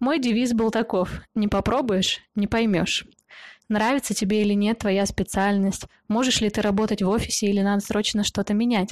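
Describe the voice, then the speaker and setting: With an ordinary speaking voice, a woman talks at a fairly high pitch with fairly even intonation but big swings in loudness, on a very clean recording with a silent background. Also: moderate pace. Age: 20s. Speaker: podcast host. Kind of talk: scripted monologue.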